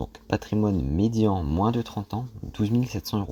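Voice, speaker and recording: A man's dark, mellow, somewhat breathy voice with lively intonation, on a very clean recording with a silent background. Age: 20s. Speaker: personal finance youtuber. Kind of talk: casual explainer monologue. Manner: hesitant, many fillers.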